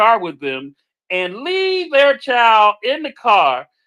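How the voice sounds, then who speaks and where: Over a quiet background, a bright, sharp, raised and projected voice moves at a fairly slow pace. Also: man. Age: 60s. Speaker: podcast host. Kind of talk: casual chat. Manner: halting.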